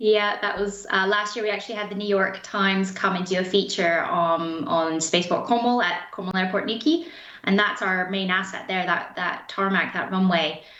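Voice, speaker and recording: A woman in a Canadian accent, medium in pitch with ordinary pitch variation, at a moderate pace with hardly any pauses, amid noticeable background noise and audible room echo. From Canada, interior British Columbia. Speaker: spaceport head. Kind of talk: interview.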